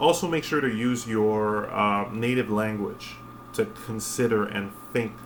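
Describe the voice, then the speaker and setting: Over noticeable background noise and audible room echo, a man speaks at fairly low pitch with fairly even intonation. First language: French. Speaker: spiritual vlogger. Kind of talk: casual monologue. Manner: halting, many fillers.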